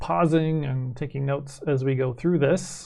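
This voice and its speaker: A man with a Canadian accent speaks at a fairly slow pace in a somewhat breathy, dark, mellow tone, with ordinary pitch variation against a quiet background. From Canada. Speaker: math teacher. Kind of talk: lecture. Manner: hesitant, many fillers.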